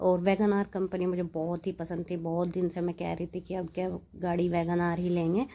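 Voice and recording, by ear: A woman speaks in a fairly low pitch with a dark, mellow tone and little pitch movement. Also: moderate pace.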